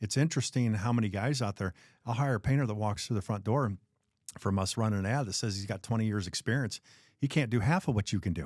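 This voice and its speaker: A man in an ordinary speaking voice, fairly low in pitch, talks at a fairly quick pace with lively intonation, the sound dry and close with no echo on a very clean recording with a silent background. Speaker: podcast host, painting business owner. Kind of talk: podcast interview, casual conversation.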